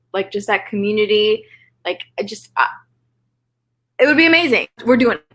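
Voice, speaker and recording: Speaking at a moderate pace with a Canadian accent, a woman uses a fairly high, animated voice with lively intonation and long, frequent pauses. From Canada, Toronto. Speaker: writer and vlogger. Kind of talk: casual chat. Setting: live stream.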